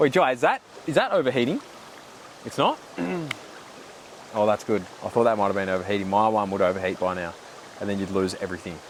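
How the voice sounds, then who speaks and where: A man's very fast, fairly low voice in an Australian accent, with ordinary pitch variation, long, frequent pauses, and noticeable background noise. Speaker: podcast host. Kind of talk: casual chat. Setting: outdoors.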